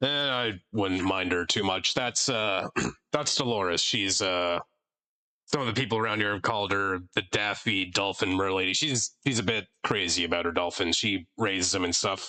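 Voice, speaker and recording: A man puts on a raspy character voice with a fairly low pitch. He keeps a moderate pace and ordinary pitch variation. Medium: actual play. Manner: casual, chatty.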